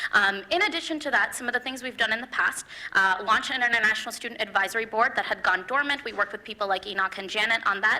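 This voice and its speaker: Over noticeable background noise, a woman talks at a very fast pace. Her pitch is fairly high, with ordinary pitch variation. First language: not English. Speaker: student election candidate. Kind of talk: debate. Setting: stage with audience.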